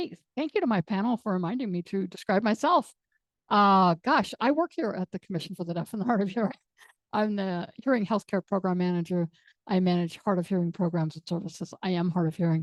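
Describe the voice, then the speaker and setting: In an ordinary speaking voice, a woman at medium pitch talks at a fairly quick pace with ordinary pitch variation, the sound dry and close with no echo. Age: 60s. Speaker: panel moderator, hard of hearing program manager. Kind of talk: panel discussion.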